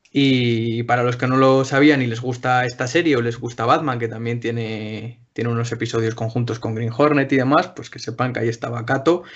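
A man speaks at a fairly quick pace with hardly any pauses. He has a plain, everyday voice at a medium pitch. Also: fairly even intonation. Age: 20s. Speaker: podcast panelist. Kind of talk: casual chat.

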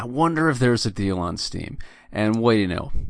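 A man speaks in a normal speaking voice at a medium pitch and moderate pace. His intonation is lively against a quiet background. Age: 30s. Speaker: grocery store butcher. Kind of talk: casual chat.

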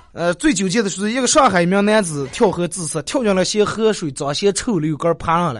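Noticeable background noise sits behind a man with a high pitch. He speaks fairly quickly with lively intonation. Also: hardly any pauses. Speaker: radio talk show host. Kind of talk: dialect comedy talk show. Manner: animated.

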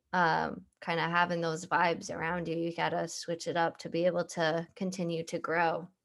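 A woman talks in a plain, everyday voice at a fairly low pitch. Her pace is moderate and the background quiet. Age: 20s. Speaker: podcast host. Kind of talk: casual interview.

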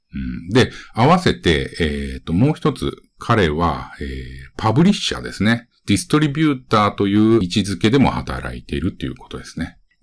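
A man at a fairly low pitch and very fast pace, with vocal fry, very wide pitch swings and big swings in loudness. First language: Japanese. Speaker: podcast host and gaming video creator. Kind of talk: casual podcast narration in Japanese; interview.

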